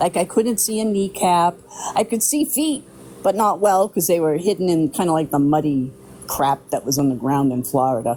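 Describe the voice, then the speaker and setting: Set against noticeable background noise, the speech moves at a moderate pace. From New Hampshire. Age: 60s. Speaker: eyewitness. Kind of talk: testimony.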